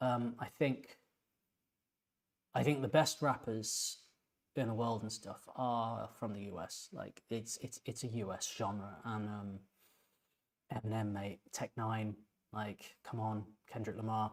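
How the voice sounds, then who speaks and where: A man with an English accent and medium pitch talks at a fairly slow pace, with fairly even intonation and long, frequent pauses. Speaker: composer and music reaction youtuber. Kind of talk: music reaction commentary. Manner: halting, many repeated words; casual, conversational.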